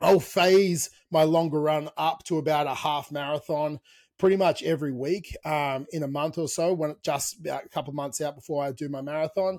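On a very clean recording with a silent background, a man with an Australian accent speaks at a moderate pace with fairly even intonation. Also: fairly high pitch for a man. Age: 30s. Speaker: fitness coach and podcast host. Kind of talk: casual chat.

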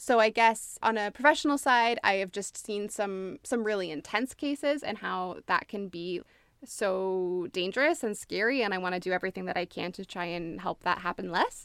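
In a Canadian accent, a woman with an unremarkable speaking voice talks at a moderate pace and medium pitch, with lively intonation and hardly any pauses. The recording is very clean, with a silent background and a dry, close sound with no echo. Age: 30s. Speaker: social worker, therapist and theater actor. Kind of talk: casual interview conversation.

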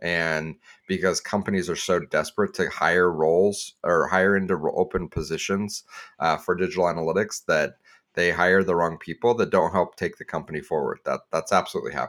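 A man talking at a fairly quick clip, on a very clean recording with a silent background. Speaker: podcast co-host, analytics professional. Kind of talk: casual roundtable chat.

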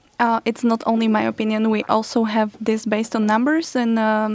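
A woman's fairly high-pitched voice in a Slovak accent, on a very clean recording with a silent background. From Slovakia. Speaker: youth council project manager. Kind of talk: panel discussion. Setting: studio.

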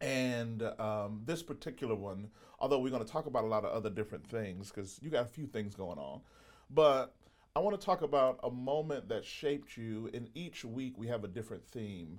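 At a fairly quick pace, a man speaks in a medium pitch with lively intonation. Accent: American. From US South, Mississippi. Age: 40s. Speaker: podcast host and pastor. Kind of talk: interview. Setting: studio.

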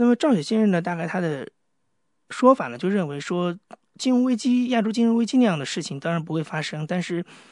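A man at a fairly quick pace with very wide pitch swings, against a quiet background. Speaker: podcast host. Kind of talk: solo podcast intro; interview.

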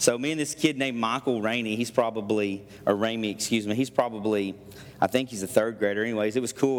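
Noticeable background noise sits behind a man's voice. He talks at a very fast pace with medium pitch. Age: 30s. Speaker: pastor. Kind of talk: sermon. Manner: animated.

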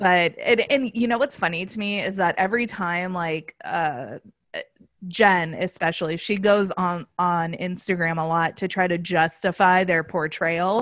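With an American accent, an ordinary speaking voice shows ordinary pitch variation against a quiet background. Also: woman. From Los Angeles, US. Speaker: podcast host. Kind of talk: casual chat.

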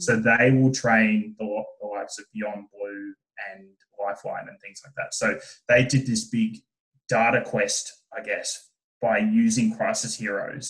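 A man with an Australian accent talks at a fairly slow pace, his loudness swinging widely. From Tasmania, Australia. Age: 20s. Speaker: startup co-founder. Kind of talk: casual interview chat.

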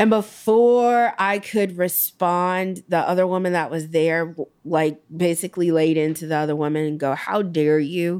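On a very clean recording with a silent background, a woman with an American accent and an ordinary speaking voice talks at a fairly slow pace, her pitch fairly low with ordinary variation. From Gary, Indiana. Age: 30s. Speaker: local politician. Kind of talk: personal testimony.

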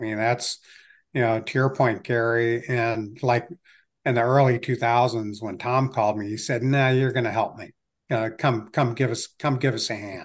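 An ordinary speaking voice from a man at medium pitch, in an American accent, with fairly even intonation, a moderate pace and a quiet background. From Ohio, Cleveland area. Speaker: investor and entrepreneur. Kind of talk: interview conversation.

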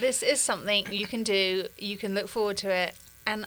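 A woman talks at a fairly quick pace in an ordinary speaking voice. Her pitch is medium, with fairly even intonation. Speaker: nonprofit staffer. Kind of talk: casual chat. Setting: studio.

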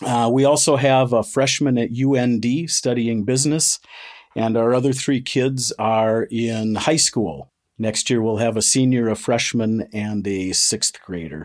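A man uses a normal speaking voice at a medium pitch with ordinary pitch variation and a fairly slow pace. The recording is very clean, with a silent background. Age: 50s. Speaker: master electrician and apprentice instructor. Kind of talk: interview.

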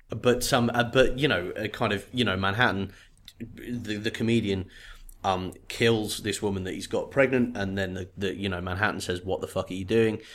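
A man speaks with a British accent at a fairly low pitch and a moderate pace, with fairly even intonation. The recording is very clean, with a silent background. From Great Britain. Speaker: podcast co-host. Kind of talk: casual chat.

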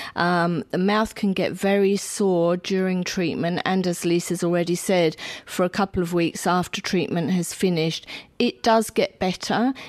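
A woman at a moderate pace with very even loudness and fairly even intonation, on a very clean recording with a silent background. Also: medium pitch for a woman. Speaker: cancer nurse. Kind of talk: interview answers.

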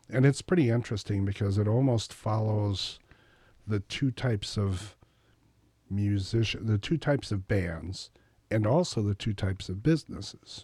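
The voice has a dark, mellow tone, is somewhat breathy and comes with an American accent. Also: man, very clean recording, silent background. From Wisconsin. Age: 50s. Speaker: singer-songwriter. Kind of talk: casual interview chat.

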